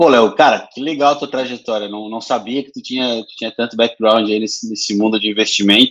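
A man's normal speaking voice at medium pitch, fairly quick, with fairly even intonation and big swings in loudness. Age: 30s. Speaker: podcast host, business development. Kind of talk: casual interview.

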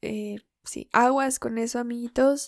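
A woman speaks quietly at a very slow pace, with a fairly high pitch and monotone, flat intonation. The recording is very clean, with a silent background and a dry, close sound with no echo. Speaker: podcaster and tarot reader. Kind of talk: casual monologue. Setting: at home. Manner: quiet, recorded at low volume. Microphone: recorded too quietly.

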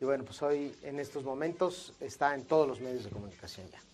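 Using an ordinary speaking voice, a man talks at a moderate pace and fairly high pitch. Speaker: radio and TV news anchor. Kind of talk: casual interview.

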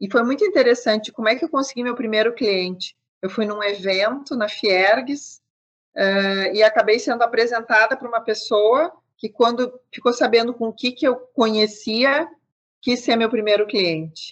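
A woman in a plain, everyday voice, fairly high-pitched, at a moderate pace with ordinary pitch variation. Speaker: business consultant. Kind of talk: interview.

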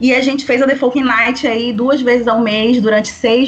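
Noticeable background noise beneath a woman's fairly even intonation. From Belém do Pará, northern Brazil. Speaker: singer-songwriter and cultural producer. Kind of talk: casual chat.

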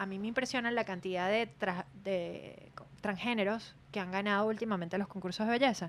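A woman with an ordinary speaking voice and ordinary pitch variation, on a very clean recording with a silent background. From Venezuela (Maracay, Aragua). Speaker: podcast co-host, former beauty pageant contestant. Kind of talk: casual chat.

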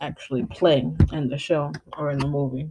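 A woman speaks in an animated tone at a moderate pace, her pitch very deep and low. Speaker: radio host. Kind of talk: upbeat radio DJ patter with casual sign-on and sign-off. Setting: radio show. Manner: animated, chatty, friendly, slangy ('y'all', 'peace out'); stumbling, filler-heavy when reading prepared notes aloud.

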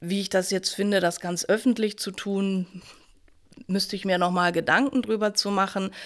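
At a moderate pace, a woman speaks in an unremarkable speaking voice with a medium pitch and ordinary pitch variation. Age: middle-aged. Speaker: university vice president. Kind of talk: panel discussion.

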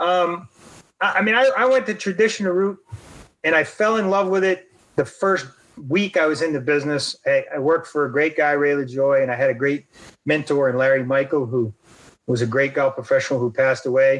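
A man with an ordinary speaking voice talks at a fairly quick pace and a fairly high pitch. His intonation is lively and his loudness stays very even. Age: 60s. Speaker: golf professional and former PGA official. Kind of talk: casual interview, storytelling. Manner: conversational, uses many fillers.

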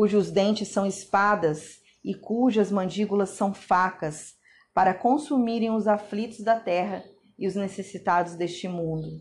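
Fairly even intonation in a somewhat breathy woman's voice. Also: very clean recording, silent background. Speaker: Bible reader. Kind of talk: scripture reading.

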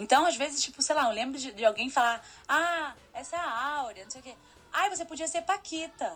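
Her voice is high-pitched and her intonation lively as a woman speaks over noticeable background noise. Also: big swings in loudness. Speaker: photographer and master's student. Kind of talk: casual chat.

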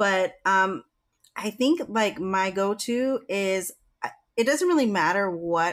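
A woman's medium-pitched, lively intonation at a fairly slow pace, an unremarkable speaking voice in a very clean recording with a silent background. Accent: American. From Virginia, US. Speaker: podcast co-host and business networking founder. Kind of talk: casual chat.

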